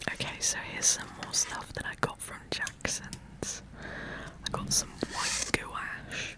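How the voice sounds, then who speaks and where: A very slow whisper against noticeable background noise. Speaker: artist and small online shop owner. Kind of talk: ASMR whispered narration. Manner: whispered.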